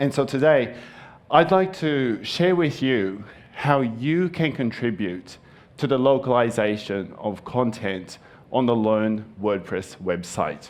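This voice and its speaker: With a Japanese accent, a man of medium pitch talks at a very slow pace with lively intonation, and audible room echo surrounds him. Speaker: conference speaker. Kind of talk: conference talk.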